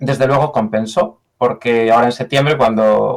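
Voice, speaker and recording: A man speaks with a Galician accent. His pitch sits in the medium range. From Galicia, Spain. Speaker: software engineer. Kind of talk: interview. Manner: halting, frequent repetitions.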